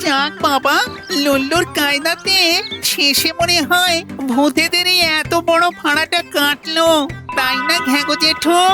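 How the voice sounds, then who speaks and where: A cartoonish character voice. Clear music plays in the background. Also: fairly slow pace. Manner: fearful, whiny.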